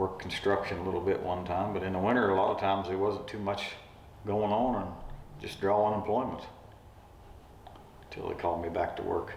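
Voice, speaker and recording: A man with an Appalachian accent talks at a fairly quick pace in a fairly low, flat monotone, leaving long, frequent pauses. Noticeable background noise runs behind him. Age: 50s. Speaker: retired railroad track worker. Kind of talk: interview answer.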